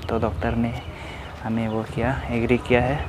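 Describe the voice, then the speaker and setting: The man's pitch is medium. Behind him, noticeable background noise is present. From Arunachal Pradesh, India. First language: Nyishi (speaking Hindi). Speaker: vlogger. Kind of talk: vlog, walking tour. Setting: outdoors, hospital grounds. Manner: halting, with fillers.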